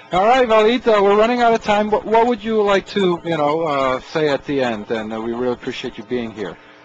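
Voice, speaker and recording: Over noticeable background noise, a high-pitched man talks at a fairly quick pace with hardly any pauses and very wide pitch swings. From Czechoslovakia. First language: Slovak or Czech. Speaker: radio talk show host. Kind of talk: radio interview. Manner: halting, many fillers.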